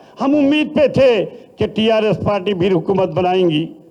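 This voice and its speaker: A man speaks over noticeable background noise. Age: 70s. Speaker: politician. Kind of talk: political speech. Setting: party meeting hall.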